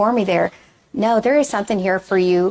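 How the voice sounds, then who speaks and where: A woman talks at a very fast pace. She speaks with a Texan accent. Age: 30s. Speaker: reunion committee member. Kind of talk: interview. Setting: event center pavilion.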